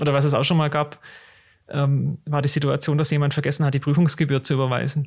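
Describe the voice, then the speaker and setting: Somewhat breathy and very even in loudness, the voice runs at a very fast pace with monotone, flat intonation. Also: man, fairly high pitch for a man. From Swabia, southern Germany. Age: 30s. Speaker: tax advisor and exam tutor. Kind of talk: casual podcast chat.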